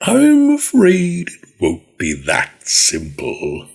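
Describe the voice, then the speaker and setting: A put-on character voice at a very slow pace. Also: man. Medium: read story. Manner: smug, taunting.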